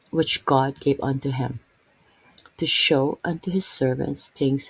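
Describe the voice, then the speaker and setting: A woman speaks at a fairly slow pace in a very deep, low, somewhat breathy voice with ordinary pitch variation. The sound is dry and close, with no echo. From Philippines. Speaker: Bible teacher. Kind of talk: Bible reading and commentary. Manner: halting, many fillers.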